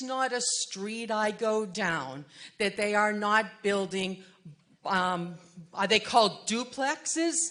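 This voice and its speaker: A woman with an American accent talks very slowly, her pitch fairly high and her intonation lively. Noticeable background noise runs behind her. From Massachusetts. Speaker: resident speaking at community meeting. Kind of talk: public comment at community meeting. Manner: animated.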